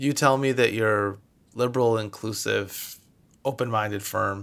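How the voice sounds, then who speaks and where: A man with an American accent speaks at a moderate pace in a bright, sharp tone on a very clean recording with a silent background. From Michigan, US. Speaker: venture capital investor. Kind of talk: interview.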